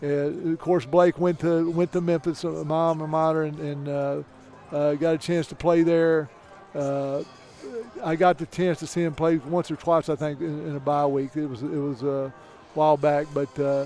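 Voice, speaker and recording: With music in the background, a man speaks at a moderate pace in a fairly high pitch and a monotone, flat intonation. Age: 60s. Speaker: NFL football coach. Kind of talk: casual chat. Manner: halting.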